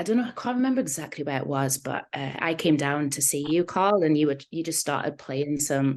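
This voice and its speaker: Lively intonation in a slight Geordie accent, at a fairly quick pace with hardly any pauses. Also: woman, very deep, low pitch for a woman. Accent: slight Geordie twang. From northern England, Newcastle. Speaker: singer-songwriter. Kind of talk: casual interview chat. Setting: video call.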